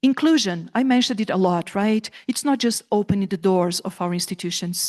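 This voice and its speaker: A woman speaks with a Brazilian Portuguese accent, her intonation lively and her pace fairly quick. The sound is dry and close with no echo, over a quiet background. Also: medium pitch for a woman. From southern Brazil. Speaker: professor. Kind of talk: conference talk. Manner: animated.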